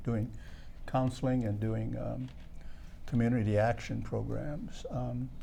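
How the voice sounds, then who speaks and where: At a fairly slow pace, a man speaks with audible room echo around him. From North Dakota reservation. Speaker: community elder and health program worker. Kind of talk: TV interview.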